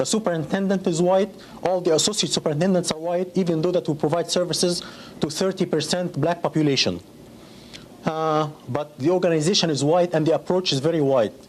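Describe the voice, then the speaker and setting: A man with an Arabic accent speaks at a fairly quick pace in a high voice, with fairly even intonation and very even loudness. Noticeable background noise runs behind him. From Egypt. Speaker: school district employee. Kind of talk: interview testimony. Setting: conference interview.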